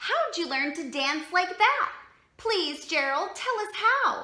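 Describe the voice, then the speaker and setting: A woman speaks at a fairly slow pace in a put-on character voice pitched extremely high. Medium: read story.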